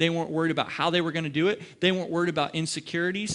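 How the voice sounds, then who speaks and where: A very fast-talking man with an American accent and a high pitch, over a quiet background. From Ohio. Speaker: pastor. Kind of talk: sermon. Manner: animated.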